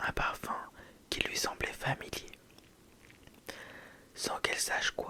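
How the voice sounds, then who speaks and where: A woman's whispering is heard against noticeable background noise. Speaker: ASMR content creator. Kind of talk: whispered ASMR bedtime story. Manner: whispered, soft, slow.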